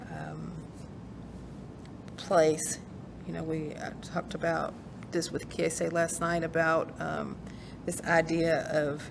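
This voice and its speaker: The speaker has a Kentucky accent and talks at a very slow pace with long, frequent pauses. Room echo is audible. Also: woman. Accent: Kentucky country twang. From rural eastern Kentucky, Appalachia. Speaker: author and poet. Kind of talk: interview conversation. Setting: recorded virtual program. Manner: halting, many fillers.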